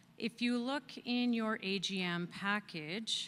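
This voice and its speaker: A bright, sharp, loud tone. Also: woman. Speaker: external auditor. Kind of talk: financial report presentation at annual meeting.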